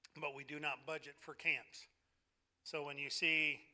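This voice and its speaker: A loud man's voice, fairly high in pitch with a bright, sharp tone, on a very clean recording with a silent background. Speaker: church leader presenting budget. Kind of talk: congregational meeting report. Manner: hesitant with fillers.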